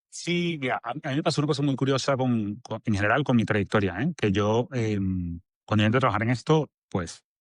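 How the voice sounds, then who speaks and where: A man with a Venezuelan accent talks at a fairly quick pace and medium pitch with lively intonation, the sound dry and close with no echo over a quiet background. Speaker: agency director. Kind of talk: podcast interview.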